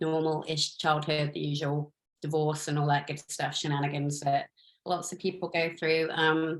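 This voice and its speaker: A woman with an English accent speaks at a very deep, low pitch. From England, Cornwall. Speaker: stuntwoman and skydiver. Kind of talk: interview. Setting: video call.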